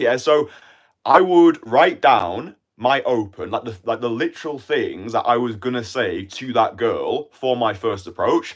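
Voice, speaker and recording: With a British accent, a man talks at a fairly slow pace. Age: 20s. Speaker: dating coach. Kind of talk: live stream monologue. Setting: live stream. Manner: casual.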